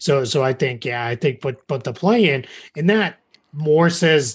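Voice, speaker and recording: This man talks at a moderate pace in a fairly high pitch, with an American accent. His voice is somewhat breathy, and the background is quiet. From Massachusetts. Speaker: basketball writer. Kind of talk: podcast interview. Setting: remote call.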